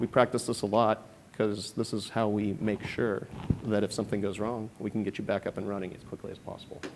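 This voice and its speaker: A man's fairly low-pitched voice at a fairly quick pace, with monotone, flat intonation. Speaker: software engineering and security manager. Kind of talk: conference presentation. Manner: fast.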